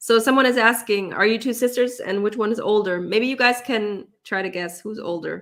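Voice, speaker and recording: A woman with a German accent, moderately paced, with ordinary pitch variation. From Germany, Cologne area, then US from age nine. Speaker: language teacher and online content creator. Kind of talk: livestream Q&A.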